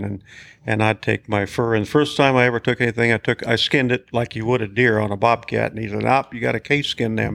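A man with a Western US accent talks at a very fast pace and medium pitch, with fairly even intonation and a dry, close sound with no echo. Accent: rural Western American. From Montana, Big Horn County. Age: 70s. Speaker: hunting outfitter and trapper. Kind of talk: interview storytelling.

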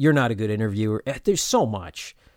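A man speaks in an ordinary speaking voice at medium pitch with ordinary pitch variation and a fairly quick pace, recorded very cleanly against a silent background with a dry, close sound and no echo. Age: 40s. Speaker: podcast host and actor. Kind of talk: casual chat. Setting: home interview recording.

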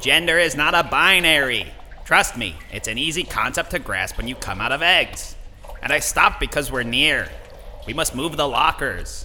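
Putting on a character voice, a man speaks at a fairly high pitch and a moderate pace. Background noise is clearly audible. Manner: earnest, wounded.

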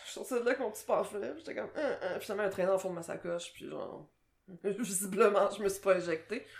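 Speaking very fast in a Quebec accent, a woman of medium pitch shows ordinary pitch variation and big swings in loudness. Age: 30s. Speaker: podcast co-host, translator. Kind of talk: casual chat.

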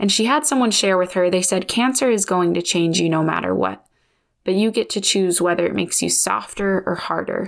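In an unremarkable speaking voice, a woman talks at a medium pitch and fairly quick pace with lively intonation and very even loudness, recorded very cleanly against a silent background. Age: 30s. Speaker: podcast host. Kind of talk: casual solo monologue.

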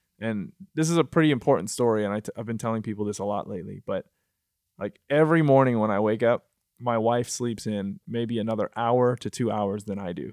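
A man with an American accent has a normal speaking voice at a medium pitch with ordinary pitch variation. The sound is dry and close with no echo, in a very clean recording with a silent background. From Michigan, US. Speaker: musician and multi-disciplinary artist. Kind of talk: casual interview. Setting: studio.

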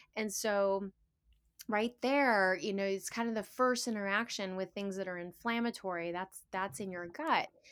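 A woman with a plain, everyday voice at a medium pitch, moderate pace and ordinary pitch variation, on a very clean recording with a silent background. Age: 50s. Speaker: naturopathic doctor and teacher. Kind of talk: casual chat.

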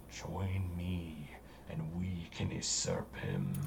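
Loud background noise surrounds a man putting on a booming character voice, spoken at a very slow pace. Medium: actual play. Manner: grand, manipulative.

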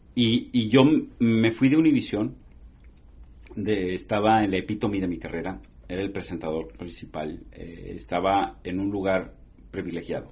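Speaking at a moderate pace, a man pauses often and at length. His fairly low voice is somewhat breathy, with ordinary pitch variation. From northern Mexico border (Matamoros, Tamaulipas). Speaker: TV journalist. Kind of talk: interview.

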